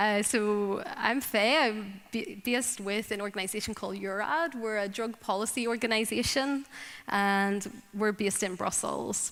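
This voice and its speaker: A woman's fairly high voice in a Northern Irish accent, with ordinary pitch variation at a moderate pace. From Northern Ireland. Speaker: drug policy advocate. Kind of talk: conference talk.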